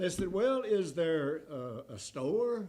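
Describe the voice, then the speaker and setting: A man's somewhat breathy voice, dark and mellow in tone, with very wide pitch swings and audible room echo. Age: 80s+. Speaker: guest preacher, former pastor. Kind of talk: sermon; closing remarks to congregation. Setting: church.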